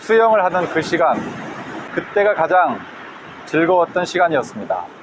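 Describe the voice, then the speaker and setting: Noticeable background noise accompanies a man speaking at a high pitch with ordinary pitch variation. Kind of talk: guided reading meditation, book reading while walking by the sea. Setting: outdoors by the sea with waves. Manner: calm, slow, reflective.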